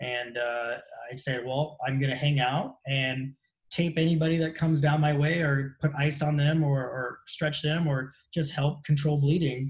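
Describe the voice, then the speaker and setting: A man with an American accent speaks at a moderate pace and fairly high pitch. His intonation is monotone and flat, and his voice is somewhat breathy. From Southern California beach area. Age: 50s. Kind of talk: casual interview chat.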